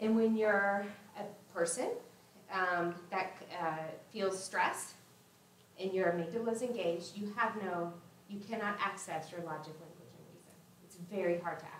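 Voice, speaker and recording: Amid audible room echo and light background noise, a woman with a medium pitch speaks at a moderate pace with fairly even intonation and long, frequent pauses. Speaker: former teacher, trauma-informed care trainer. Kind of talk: workshop presentation. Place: hall.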